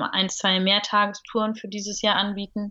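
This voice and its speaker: A woman's bright, sharp tone at a moderate pace over a quiet background. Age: 30s. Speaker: stand-up paddling instructor. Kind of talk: casual interview. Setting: remote call.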